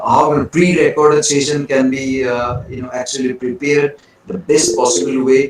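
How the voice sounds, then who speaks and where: Noticeable background noise under a man's moderately paced, fairly high-pitched voice. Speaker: webinar speaker on teaching. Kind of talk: lecture.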